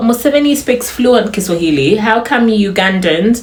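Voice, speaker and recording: A woman's fairly high voice with very wide pitch swings, a fairly slow pace and noticeable background noise. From Uganda. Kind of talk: casual talk to camera.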